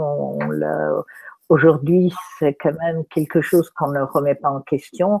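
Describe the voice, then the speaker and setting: A woman's very deep, low voice at a very slow pace, with a dry, close sound and no echo. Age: 70s. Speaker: therapist and speaker. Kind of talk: talk in an interview. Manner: halting, many fillers.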